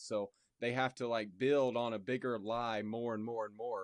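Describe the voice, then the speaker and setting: A plain, everyday voice with an American accent at a moderate pace, fairly even in intonation, in a dry, close sound with no echo and a quiet background. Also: man. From Indianapolis, Indiana. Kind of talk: casual chat.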